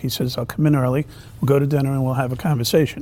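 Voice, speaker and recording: Noticeable background noise runs under the voice. The pitch varies in an ordinary way. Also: man. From New York City. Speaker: former police chief and mayoral candidate. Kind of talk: political roundtable discussion. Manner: hesitant, many fillers.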